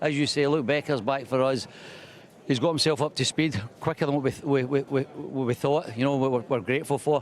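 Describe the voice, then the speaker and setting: Speaking at a fairly quick pace with a Scottish accent, a man holds a fairly high pitch, fairly even intonation and very even loudness. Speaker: speedway team manager. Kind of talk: pre-match interview. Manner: very fast.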